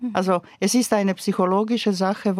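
A woman with a Croatian accent speaks at a moderate pace and medium pitch. Her intonation is fairly even, and the sound is dry and close with no echo. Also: very clean recording, silent background. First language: Croatian (speaking German). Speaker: novelist and poet. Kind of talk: interview.

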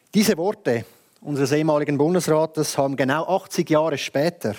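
The tone is dark and mellow, the pace fairly slow, and the sound dry and close with no echo. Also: man, very clean recording, silent background. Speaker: lawyer and youth party president. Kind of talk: prepared speech. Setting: stage with audience.

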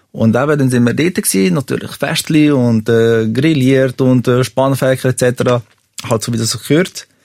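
With a plain, everyday voice, a man speaks at a moderate pace in a medium pitch with ordinary pitch variation, the sound dry and close with no echo. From Switzerland, Serbian family. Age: 30s. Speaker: podcast guest telling a confession. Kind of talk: personal confession story.

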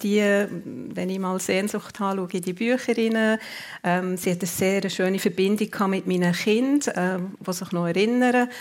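At a fairly slow pace, a woman speaks at a medium pitch in an unremarkable speaking voice. The recording is very clean, with a silent background. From Switzerland, Zurich then Bern. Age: 50s. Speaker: department store executive. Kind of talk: radio interview. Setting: live radio show before audience.

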